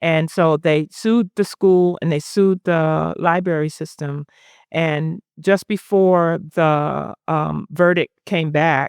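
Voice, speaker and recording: Someone with a Southern US accent speaks very slowly with fairly even intonation, in a dry, close sound with no echo. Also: woman, fairly low pitch for a woman, quiet background. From US South, South Carolina (Sumter). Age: 60s. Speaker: poet. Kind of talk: onstage interview. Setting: live event with audience.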